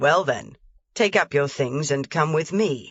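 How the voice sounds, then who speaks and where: A put-on character voice, gruff and growling, sits at a low-to-middle pitch. It moves at a fairly slow pace. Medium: read story. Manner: gruff, curt.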